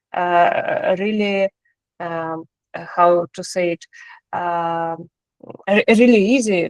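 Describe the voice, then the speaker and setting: A woman with a non-native accent speaks at a very slow pace in a fairly low pitch, her intonation fairly even and the sound dry and close with no echo. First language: not English. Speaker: course participant. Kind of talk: answering a question in class. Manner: halting, many fillers.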